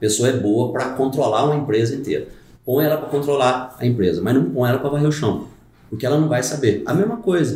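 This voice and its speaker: A man talks at a fairly quick pace with ordinary pitch variation, and audible room echo surrounds his voice. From Brazil, rural Caldas, Minas Gerais. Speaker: carpenter and brewer, youtuber. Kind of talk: casual chat.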